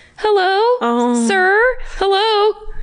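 In a put-on character voice, a woman sounds squeaky at an extremely high pitch. Her pitch swings very wide. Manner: tentative calling out.

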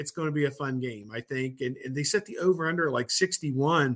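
A man's bright, sharp tone at a moderate pace. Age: 50s. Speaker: sports journalist. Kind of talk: casual chat.

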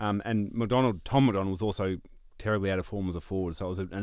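A man with an Australian accent talks at a very fast pace and a fairly low pitch, with ordinary pitch variation. The recording is very clean, with a silent background. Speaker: football pundit. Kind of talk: casual chat.

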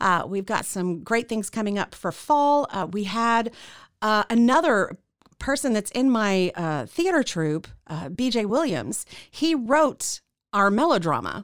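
Fairly slow speech with very wide pitch swings in an American accent, on a very clean recording with a silent background. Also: woman, fairly high pitch for a woman. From Central Texas. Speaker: radio host and theater founder. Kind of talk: interview.

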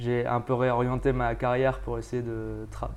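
The speech is very slow. Audible room echo surrounds it. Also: man. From France. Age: 30s. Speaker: volcanologist. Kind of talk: interview.

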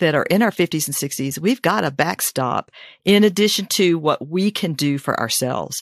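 On a very clean recording with a silent background, a woman speaks in a plain, everyday voice with a fairly low pitch and lively intonation. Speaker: retiree and podcast host. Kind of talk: podcast interview.

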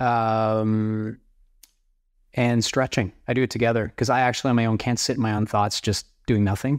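Over a very clean recording with a silent background, a man with a Canadian accent speaks at medium pitch and a moderate pace. His intonation is monotone and flat, and his loudness is very even. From Canada (small town, prairies). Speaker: entrepreneur. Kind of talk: interview.

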